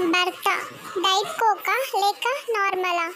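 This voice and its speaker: An extremely high-pitched, put-on character voice comes through over clear background noise. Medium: read story. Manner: deadpan, questioning.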